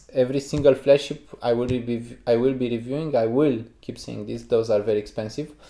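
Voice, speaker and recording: A man with a Romanian accent, very fast pace, medium pitch, dark and mellow tone, and fairly even intonation. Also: big swings in loudness. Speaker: headphone reviewer. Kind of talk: casual podcast chat.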